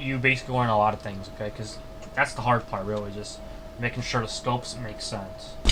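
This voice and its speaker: Noticeable background noise accompanies a man whose voice rests at a medium pitch. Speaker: YouTube modding tutorial creator. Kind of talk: screen-share coding tutorial. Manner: fast; casual, halting with self-corrections.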